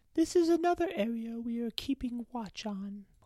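At a moderate pace, a put-on character voice with lively intonation comes through a dry, close sound with no echo. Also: woman, fairly high pitch for a woman. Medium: audio drama. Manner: stern, formal.

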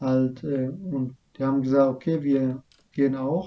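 With a non-native accent, a man speaks in a dark, mellow tone at a medium pitch, his intonation monotone and flat. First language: not German (speaking German). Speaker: refugee telling his story. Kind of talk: interview about personal story.

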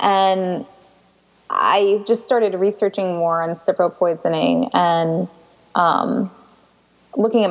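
Speaking with an American accent and ordinary pitch variation, a woman is heard over noticeable background noise. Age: 20s. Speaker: patient sharing illness story. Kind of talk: interview.

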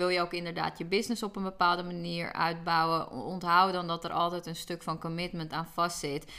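This woman speaks at a fairly quick pace in a fairly low pitch. Her tone is bright and sharp, her intonation flat and monotone. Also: hardly any pauses. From Netherlands, Hoorn (North Holland). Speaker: business mentor. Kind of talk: interview.

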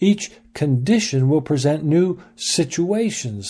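Lively in intonation, a man speaks with a somewhat breathy, dark, mellow tone. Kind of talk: scripted devotional teaching read aloud, with an introduction and sign-off. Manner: measured, earnest, formal.

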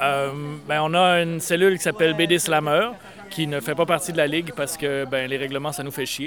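Against noticeable background noise, a man with a fairly high voice talks at a fairly quick pace with ordinary pitch variation. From Eastern Quebec. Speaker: slam poet. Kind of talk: slam poetry performance.

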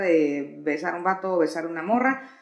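A woman at a moderate pace with very wide pitch swings, noticeable background noise behind her. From Mexico, Tijuana. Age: 40s. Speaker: notary office worker. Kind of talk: casual chat.

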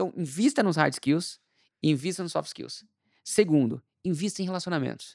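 A man speaks at high pitch and a moderate pace with ordinary pitch variation, the sound dry and close with no echo on a very clean recording with a silent background. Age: 40s. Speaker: marketing executive and entrepreneur. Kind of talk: casual interview.

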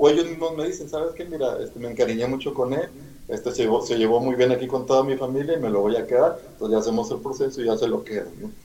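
Rushing at a very fast pace, a man at a medium pitch speaks with lively intonation. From Mexico, Monterrey, Nuevo León. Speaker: animal rescuer. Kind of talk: interview.

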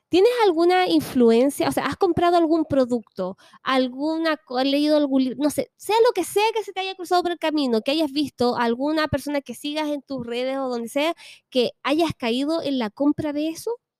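With a Chilean accent, a woman speaks at a high pitch and moderate pace with lively intonation, in a dry, close sound with no echo. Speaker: podcast host. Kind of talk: casual chat.

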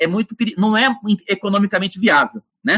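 A raised, projected voice with a bright, sharp tone moves at a fairly quick pace. The tone is animated throughout. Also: man, dry, close sound with no echo. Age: 50s. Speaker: professor, energy researcher. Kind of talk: interview.

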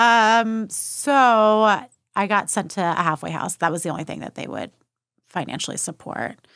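A woman with an American accent speaks at a medium pitch and a moderate pace, with ordinary pitch variation and big swings in loudness, in an unremarkable speaking voice. The recording is very clean, with a silent background. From Texas (Austin, New Braunfels). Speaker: therapist and eating disorder specialist. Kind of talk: interview testimony.

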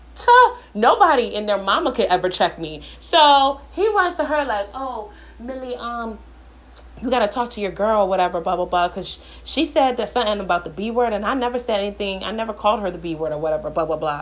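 Animated and fairly high-pitched, a woman speaks at a fairly quick pace with very wide pitch swings. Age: 20s. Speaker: podcast host. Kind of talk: storytelling monologue.

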